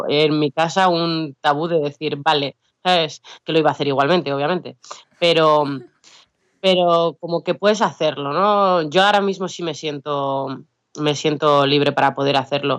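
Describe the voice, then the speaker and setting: A woman's very deep, low voice at a moderate pace, fairly even in intonation, in a dry, close sound with no echo. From Basque Country, Biscay. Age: 30s. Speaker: rapper. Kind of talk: interview.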